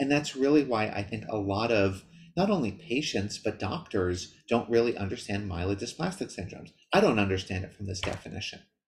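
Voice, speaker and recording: Somewhat breathy and fairly low-pitched, a man talks at a fairly quick pace with ordinary pitch variation over light background noise. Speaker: presenter. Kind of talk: lecture. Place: home room. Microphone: webcam.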